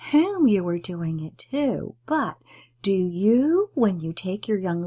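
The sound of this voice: The clip is an unforced reading voice. It carries on this way throughout.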